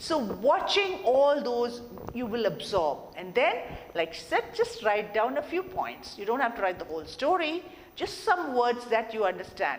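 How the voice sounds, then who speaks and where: With audible room echo and noticeable background noise, a woman speaks at a high pitch and a moderate pace, her pitch swinging very widely. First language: not English. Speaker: soft skills trainer. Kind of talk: lecture.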